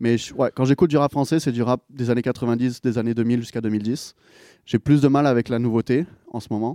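Against a quiet background, a man with a dark, mellow tone speaks at a fairly quick pace and medium pitch, with fairly even intonation and a dry, close sound with no echo. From southern France, near Marseille. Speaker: record label director. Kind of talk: casual interview.

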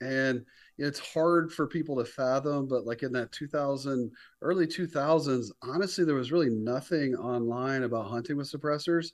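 A man's ordinary speaking voice in an American accent, fairly high in pitch, with ordinary pitch variation and a fairly quick pace. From North Carolina, Raleigh-Durham area. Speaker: company founder and CEO. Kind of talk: casual interview.

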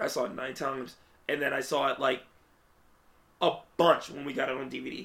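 A man talks at a moderate pace with a fairly high pitch and vocal fry. His tone is bright, sharp and animated. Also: ordinary pitch variation. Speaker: podcast host. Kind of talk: casual chat.

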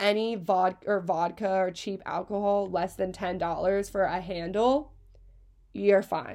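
A woman with an American accent, a plain, everyday voice, ordinary pitch variation and a fairly slow pace. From Pennsylvania (Hershey). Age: 20s. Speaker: podcast host, college student. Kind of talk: casual chat.

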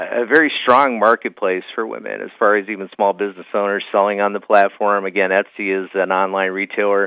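The pace of this man's speech is fairly quick. He speaks at a fairly low pitch.

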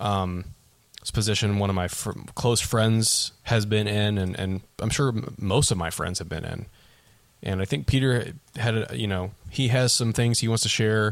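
A man's normal speaking voice, fairly low in pitch, at a moderate pace with fairly even intonation. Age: 20s. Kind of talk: casual chat.

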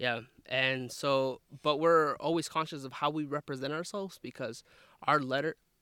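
A man with an American accent, fairly high in pitch, bright and sharp in tone, at a moderate pace with fairly even intonation. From southern Idaho, US. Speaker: university staff and grad student. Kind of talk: casual chat. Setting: outdoors in a forest.

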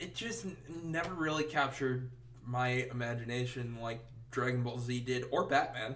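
Noticeable background noise runs behind the voice. A man with an American accent speaks at medium pitch. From US Midwest, Wisconsin. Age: 20s. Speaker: podcast co-host. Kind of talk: casual chat. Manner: giggly, animated.

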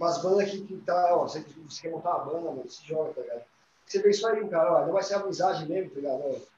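A high-pitched man talks at a very fast pace, with big swings in loudness and ordinary pitch variation. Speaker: rock band musician. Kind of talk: casual chat.

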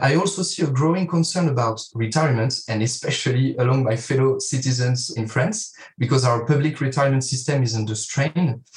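A man speaks at a moderate pace in a medium-pitched, somewhat breathy voice with ordinary pitch variation. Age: 30s. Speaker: financial advisor. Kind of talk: interview.

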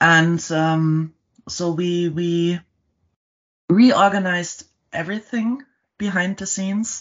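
Speaking with a German accent, a woman has a fairly low pitch and fairly even intonation. Her pace is very slow, with long, frequent pauses. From Germany. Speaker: storytelling company co-founder. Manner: halting, with fillers and repeated words.

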